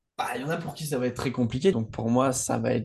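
Against a quiet background, a man with a somewhat breathy, dark, mellow tone and medium pitch speaks very fast. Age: 20s. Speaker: entrepreneur and podcaster. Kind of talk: casual chat.

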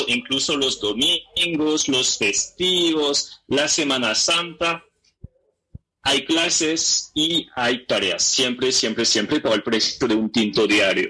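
Very slowly and at a very even loudness, a man speaks with a fairly high pitch and lively intonation. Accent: French. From France, Paris region. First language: French (speaking Spanish). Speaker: language teacher. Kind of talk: radio interview.

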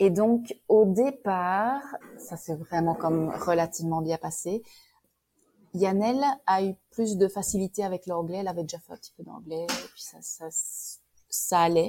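With a Belgian accent, a woman speaks in a dark, mellow tone at medium pitch and moderate pace, with ordinary pitch variation and big swings in loudness. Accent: soft Belgian. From Belgium, Liège. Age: 40s. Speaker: immigrant. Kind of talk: interview testimony. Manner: hesitant with fillers.

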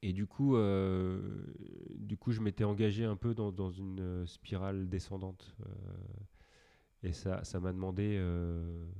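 A man speaks in a fairly low pitch with a dark, mellow tone and fairly even intonation. The background is quiet. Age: 40s. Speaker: former triathlete and wellness workshop leader. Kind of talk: casual interview. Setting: workshop studio. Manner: hesitant, many fillers.

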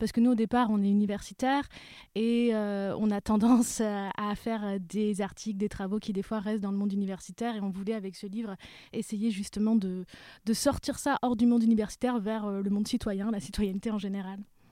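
A woman talks fairly quickly in a flat, monotone delivery. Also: medium pitch for a woman. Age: young. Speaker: linguistics lecturer and author. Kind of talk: casual interview.

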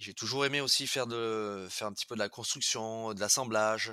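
A man's fairly low-pitched voice at a moderate pace, with fairly even intonation and a dry, close sound with no echo. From French Basque Country. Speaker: pastry chef. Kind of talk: interview. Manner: halting.

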